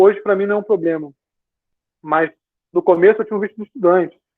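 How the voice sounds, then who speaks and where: A man speaks fairly quickly in a high voice. His intonation stays fairly even. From Brazil. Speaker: engineer, former student team member. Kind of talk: casual talk, video call Q&A. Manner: relaxed, conversational.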